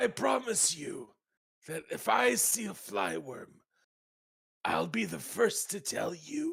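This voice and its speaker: Putting on a raspy character voice, a man speaks with long, frequent pauses. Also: fairly slow pace. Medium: actual play. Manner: tired, patient.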